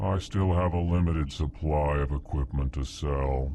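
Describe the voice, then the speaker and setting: Doing a put-on character voice, a man speaks at a moderate pace with a very deep, low pitch over clear background noise. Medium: fan dub. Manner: furtive, strained cheer.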